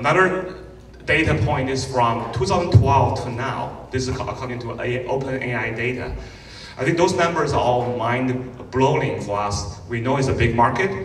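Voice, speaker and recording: There is audible room echo and light background noise as a man talks. He keeps a moderate pace with ordinary pitch variation. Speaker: conference host. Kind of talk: conference welcome talk. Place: stage.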